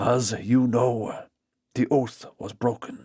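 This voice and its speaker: Using a put-on character voice, a man speaks very slowly in a raspy tone at medium pitch. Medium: read story. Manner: formal, grave.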